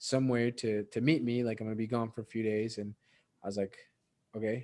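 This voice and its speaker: In a very clean recording with a silent background, a man with a dark, mellow tone and medium pitch talks at a fairly quick pace in a monotone, flat delivery. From Mexico (Veracruz), moved to US at eight. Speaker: entrepreneur and investor. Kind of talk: casual podcast interview.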